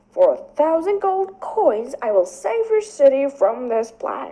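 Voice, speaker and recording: A woman does a put-on character voice at a high pitch. Her pitch swings very widely at a moderate pace. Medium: read story. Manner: calm, measured.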